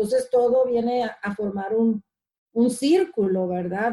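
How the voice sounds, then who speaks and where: Breathy to some degree, a woman talks at a fairly slow pace in a dark, mellow tone with ordinary pitch variation. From Mexico (Ciudad Obregón, Sonora). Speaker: community organizer. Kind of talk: interview. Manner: halting, many repetitions and fillers.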